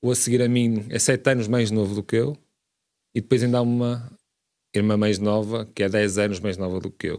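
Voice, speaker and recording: A man talks at a fairly quick pace with ordinary pitch variation in a plain, everyday voice. The recording is very clean with a silent background. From Portugal, Braga (Minho). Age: 30s. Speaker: city councillor, lawyer. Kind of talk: radio interview.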